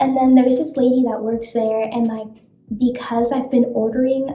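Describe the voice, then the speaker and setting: A woman with an American accent speaks in a dark, mellow tone at a fairly high pitch with monotone, flat intonation and audible room echo. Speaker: beauty vlogger. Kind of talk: casual chat. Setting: hotel bathroom.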